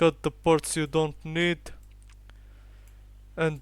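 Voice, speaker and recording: A man speaks at a fairly high pitch. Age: young. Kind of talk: software tutorial narration. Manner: casual.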